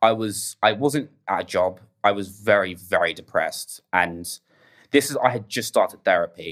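With an English accent, a man speaks at a fairly quick pace, his pitch varying in an ordinary way. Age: 20s. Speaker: podcast guest sharing grief story. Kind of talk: casual chat, personal testimony.

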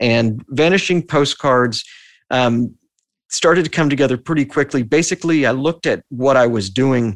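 With an American accent and an ordinary speaking voice, a man at medium pitch talks at a moderate pace with ordinary pitch variation and very even loudness, the sound dry and close with no echo over a quiet background. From Texas, Austin. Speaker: podcaster. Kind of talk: interview conversation. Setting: video call.

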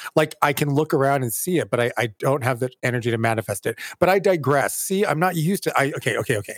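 Very fast, lively speech with an American accent and hardly any pauses, dry and close with no echo, on a very clean recording with a silent background. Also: man, fairly high pitch for a man. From California. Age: 40s. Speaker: theater director and podcast co-host. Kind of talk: casual chat.

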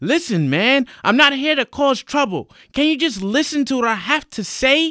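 A man in a put-on character voice speaks at a moderate pace, extremely high-pitched with big pitch swings and a bright, sharp tone, on a very clean recording with a silent background.

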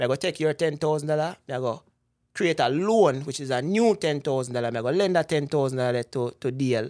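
A man with a Jamaican accent speaks at a fairly quick pace in a fairly high pitch, with ordinary pitch variation, on a very clean recording with a silent background. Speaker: investment broker. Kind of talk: casual interview about personal finance.

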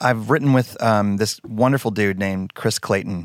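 A man speaks in a normal speaking voice with an American accent, his pitch medium with ordinary variation. The recording is very clean, with a silent background. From Texas, Denton. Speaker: worship pastor and songwriter. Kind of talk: interview.

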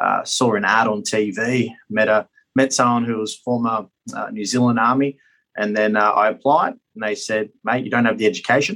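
A man with an Australian accent talks at a moderate pace and medium pitch, his intonation fairly even. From Australia (Queensland). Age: 30s. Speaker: politician and war veteran. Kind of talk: interview. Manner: halting.

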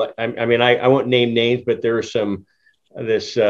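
A man talks at a fairly quick pace in an ordinary speaking voice. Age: 50s. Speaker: cannabis podcast host. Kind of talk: casual interview.

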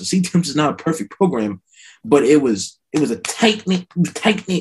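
A man with an American accent speaks in an unremarkable speaking voice, his fairly high pitch rising and falling with lively intonation. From New Jersey. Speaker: recent college graduate. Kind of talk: casual chat.

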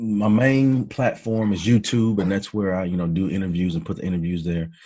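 With an American accent, a man speaks at a fairly low pitch in a dark, mellow tone, with ordinary pitch variation and a quiet background. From Texas (Hearne, near Bryan-College Station). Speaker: interviewer and motivational speaker. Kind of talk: interview.

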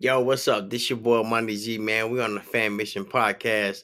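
Bright and sharp in tone, a man of medium pitch speaks at a moderate pace with monotone, flat intonation. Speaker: podcast host. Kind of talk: casual chat. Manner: laid-back, filler-heavy.

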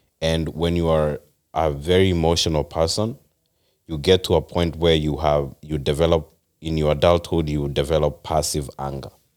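On a very clean recording with a silent background, a man with a very deep, low pitch speaks in a monotone, flat intonation at a moderate pace. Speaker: podcast guest. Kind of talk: casual chat. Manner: passionate.

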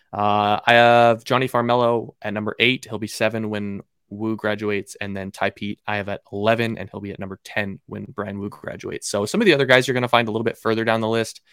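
In a Pacific Northwest accent, a man rushes along at a very fast pace with hardly any pauses, monotone, flat intonation and big swings in loudness. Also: fairly low pitch for a man, dry, close sound with no echo. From Seattle, Washington, US Pacific Northwest. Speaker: baseball draft analyst. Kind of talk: casual interview.

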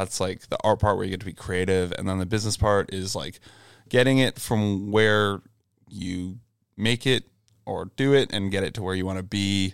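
In a very clean recording with a silent background, a man with a fairly low pitch uses a plain, everyday voice and fairly even intonation. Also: moderate pace. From Ontario, Canada (Brockville). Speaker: tour manager and front of house engineer. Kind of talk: casual chat.

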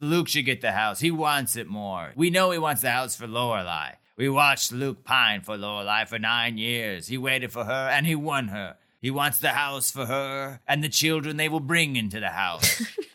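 A man booms in a put-on character voice at a medium pitch and moderate pace, with hardly any pauses. The recording is very clean, with a silent background. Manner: solemn, authoritative.

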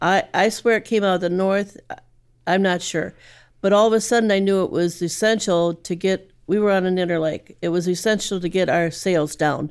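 In a normal speaking voice, a woman with a medium pitch talks at a moderate pace with fairly even intonation and very even loudness, in a very clean recording with a silent background. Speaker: sailor. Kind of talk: storytelling.

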